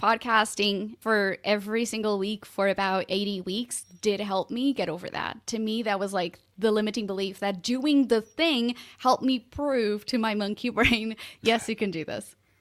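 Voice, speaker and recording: Speaking in a non-native accent, a woman's voice sits fairly high. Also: ordinary pitch variation, moderate pace. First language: not English. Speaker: podcast co-host. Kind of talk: casual podcast discussion.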